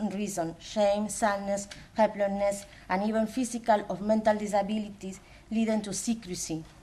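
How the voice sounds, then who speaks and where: With a Spanish accent, a woman talks at a moderate pace in a somewhat breathy voice with a dark, mellow tone. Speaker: academic coordinator. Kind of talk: conference presentation. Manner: halting.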